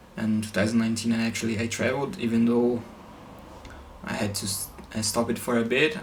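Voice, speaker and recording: Over noticeable background noise, a man at medium pitch talks at a fairly quick pace with fairly even intonation and long, frequent pauses. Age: 20s. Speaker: triathlete and engineering student. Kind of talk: casual talk to camera.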